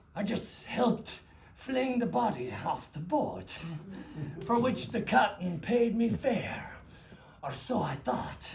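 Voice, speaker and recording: Putting on a character voice, a man speaks high for a man at a fairly slow pace, with lively intonation and long, frequent pauses. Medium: stage play. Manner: gruff, blunt.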